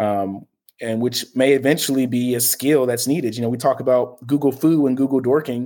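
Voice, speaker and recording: On a very clean recording with a silent background, a man with a dark, mellow tone talks fairly quickly at a medium pitch and with fairly even intonation. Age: 20s. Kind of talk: casual chat.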